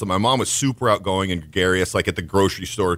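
Heard on a very clean recording with a silent background, a man speaks in a bright, sharp tone. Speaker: charisma coach. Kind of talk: casual interview.

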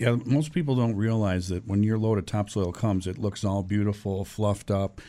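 In an American accent, a man speaks at a fairly low pitch with a dark, mellow tone. He uses ordinary pitch variation and hardly any pauses. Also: moderate pace. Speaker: compost and mulch business owner. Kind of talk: radio interview. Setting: radio studio.

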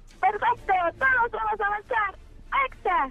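A put-on character voice pitched extremely high. Light background noise can be heard. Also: moderate pace. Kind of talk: fresa, upper-class affected. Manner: affected, posh.

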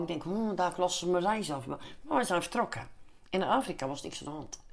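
A woman speaks at a fairly quick pace with lively intonation and a fairly low pitch. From Netherlands, Den Bosch (North Brabant). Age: 50s. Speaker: calendar maker for veterans charity. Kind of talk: interview, personal life story.

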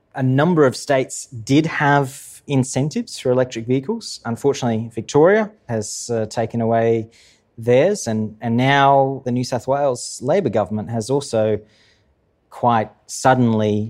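A moderate-paced delivery in an Australian accent, with ordinary pitch variation, in a very clean recording with a silent background. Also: man. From Queensland, Australia. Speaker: transport engineer and policy head. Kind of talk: live interview before audience. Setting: stage with live audience in museum.

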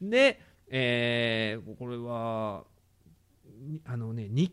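In a very clean recording with a silent background, a man speaks at medium pitch with a Kansai accent. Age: 30s. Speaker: podcast host. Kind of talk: casual chat. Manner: animated.

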